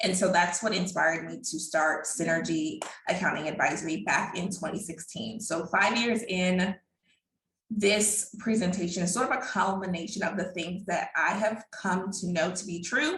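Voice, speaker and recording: A woman speaks at a medium pitch. Room echo is audible around her voice. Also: ordinary pitch variation, moderate pace. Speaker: accountant. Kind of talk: webinar presentation.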